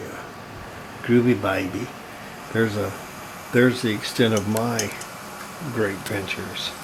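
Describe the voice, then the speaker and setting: A man's fairly low, monotone voice with flat intonation, fairly slow with long, frequent pauses and big swings in loudness, over noticeable background noise. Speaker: PC hobbyist, computer restorer. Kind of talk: casual talk to camera.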